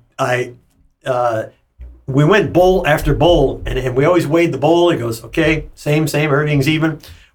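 This man's pitch sits fairly high. His voice is somewhat breathy. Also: ordinary pitch variation, moderate pace. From Germany; Hawaii. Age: 70s. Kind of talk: casual interview, life story. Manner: relaxed, rambling, candid.

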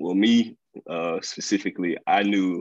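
His pitch sits very deep and low. This man's delivery stays monotone and flat. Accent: Mississippi. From Mississippi, US South. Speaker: incoming dental student. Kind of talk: interview.

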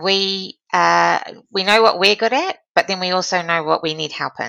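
A woman with a New Zealand accent talks at a fairly slow pace. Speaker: former diplomat and philanthropy leader. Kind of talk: interview.

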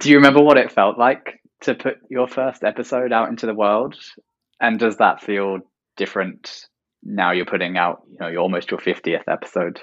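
A man speaks at a moderate pace against a quiet background. His pitch sits fairly low and varies in an ordinary way. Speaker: podcast host. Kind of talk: casual interview chat.

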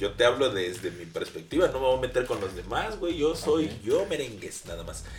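Against noticeable background noise, a man talks at a moderate pace with hardly any pauses and big swings in loudness. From Veracruz, Mexico. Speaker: comedian. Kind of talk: casual chat.

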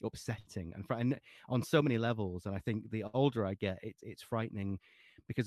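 A stretch of reading aloud in a natural voice

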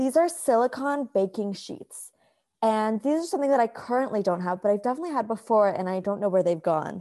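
On a very clean recording with a silent background, a woman has a plain, everyday voice with lively intonation. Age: 20s. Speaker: podcast co-host. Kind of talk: casual chat.

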